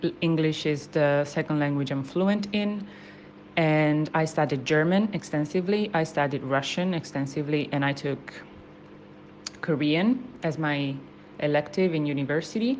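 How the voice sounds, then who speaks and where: A woman speaks with an Italian accent at a moderate pace, her pitch very deep and low. Her pitch varies in an ordinary way, and her loudness stays very even. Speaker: university student. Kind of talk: spoken language sample, reflective monologue. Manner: hesitant, many fillers and restarts.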